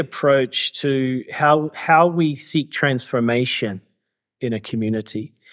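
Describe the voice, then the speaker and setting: At a fairly slow pace, a man speaks with a New Zealand accent and a fairly high pitch. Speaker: author and activist. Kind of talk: interview conversation. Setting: remote call from Cambodia, evening.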